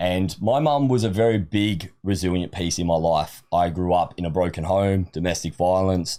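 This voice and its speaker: In an Australian accent, a man speaks at a moderate pace with hardly any pauses, his very deep, low voice dark and mellow with ordinary pitch variation, on a very clean recording with a silent background. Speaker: supplement company sales manager. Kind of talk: podcast interview. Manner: talkative.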